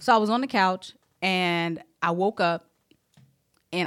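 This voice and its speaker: This woman has an American accent and an unremarkable speaking voice. Her pitch sits in the medium range, with ordinary variation. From South Carolina. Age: 30s. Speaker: Navy veteran and HR manager. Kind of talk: casual interview, personal health testimony.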